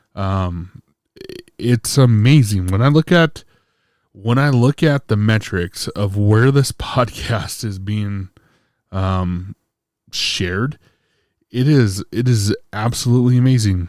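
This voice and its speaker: In a very clean recording with a silent background, a man speaks at a fairly low pitch with ordinary pitch variation. He goes at a very slow pace, with long, frequent pauses. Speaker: podcast host. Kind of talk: casual podcast talk. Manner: halting, many fillers.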